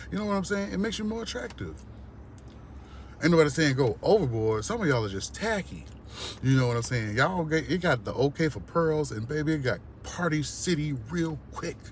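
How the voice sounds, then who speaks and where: A man speaks at a fairly quick pace in a fairly high, somewhat breathy voice. His pitch swings very widely. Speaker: vlogger. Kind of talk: rant. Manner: animated.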